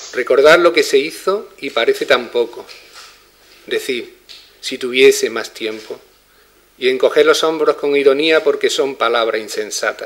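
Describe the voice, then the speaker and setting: The pace of this man's speech is fairly slow. Pauses come often and run long. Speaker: poetry reader at festival opening. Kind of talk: speech at inauguration, then reading aloud. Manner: formal. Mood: calm, reflective. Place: home room. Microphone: podium.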